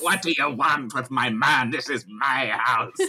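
Someone puts on a character voice at a low-to-middle pitch and a moderate pace, with light background noise behind it. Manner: aggressive, confrontational.

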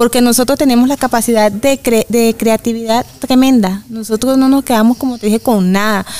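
A woman talks at a moderate pace with a fairly high pitch and fairly even intonation. Noticeable background noise is present. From Venezuela, Valencia, Carabobo. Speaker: migrant woman, mother. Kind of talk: interview conversation.

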